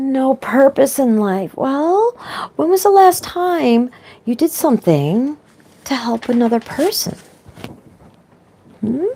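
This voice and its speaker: A high-pitched woman's voice with very wide pitch swings. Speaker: spiritual vlogger. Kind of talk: inspirational monologue. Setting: online video.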